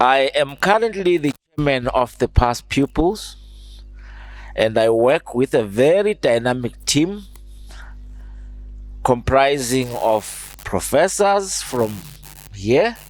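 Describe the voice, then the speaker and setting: A man speaks at a very slow pace with long, frequent pauses, his medium pitch swinging very widely while his loudness stays very even. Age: 60s. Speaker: alumni association chairman. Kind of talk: speech to students.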